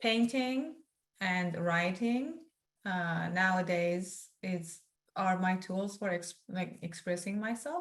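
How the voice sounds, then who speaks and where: A woman speaks with a Turkmen accent. Her pace is very slow. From northeast Iran, Turkmen community. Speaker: memoir author. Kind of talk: interview. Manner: halting.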